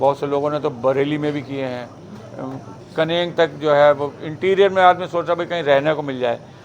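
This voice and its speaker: A man with a fairly high pitch speaks with fairly even intonation over noticeable background noise. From Uttar Pradesh, Shahjahanpur. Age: 60s. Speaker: meditation trainer. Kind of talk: talk to audience. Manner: conversational, with fillers.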